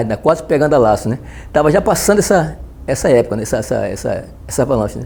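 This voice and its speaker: A man's voice sits at a medium pitch, with a dark, mellow tone. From Northeast Brazil, Recife, Pernambuco. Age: 70s. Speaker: retired navy petty officer. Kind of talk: oral history interview. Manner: halting, many fillers and restarts.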